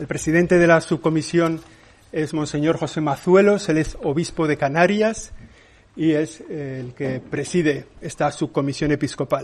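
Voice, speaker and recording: Fairly even intonation and a fairly slow pace mark an ordinary speaking voice. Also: man, fairly high pitch for a man. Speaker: church press spokesman. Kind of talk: press conference moderation. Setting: press conference room.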